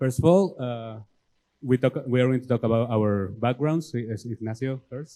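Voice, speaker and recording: With a Mexican accent, a man speaks in a dark, mellow tone at a medium pitch and moderate pace, with ordinary pitch variation and a dry, close sound with no echo. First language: Spanish. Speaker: homebrew club president. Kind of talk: presentation. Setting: club meeting with audience.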